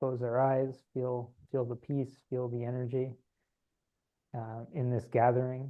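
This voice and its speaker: A soft-spoken man at a medium pitch, fairly slow, in a monotone with flat intonation. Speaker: spiritual channeler. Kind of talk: guided meditation; casual chat. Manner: halting.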